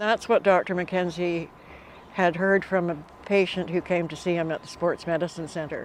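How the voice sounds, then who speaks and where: In a fairly low voice, a woman speaks at a moderate pace with monotone, flat intonation. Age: 80s+. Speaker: breast cancer survivor and dragon boat paddler. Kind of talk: interview testimony.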